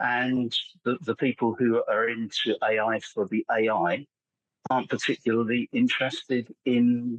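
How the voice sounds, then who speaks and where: With an English accent, a man speaks at a fairly slow pace. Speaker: AI content specialist and copywriter. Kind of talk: podcast interview. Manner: halting, frequent repetitions.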